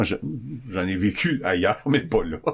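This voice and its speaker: Very deep, low male pitch on a very clean recording against a silent background. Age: 60s. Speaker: recovering alcoholic guest. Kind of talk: testimony.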